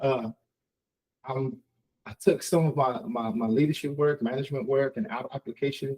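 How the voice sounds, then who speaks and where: A somewhat breathy man with a dark, mellow tone and fairly high pitch, lively intonation, big swings in loudness, long, frequent pauses and a dry, close sound with no echo. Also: moderate pace. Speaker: tech consultant and webinar presenter. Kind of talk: webinar presentation. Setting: online webinar. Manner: halting, many repetitions and fillers.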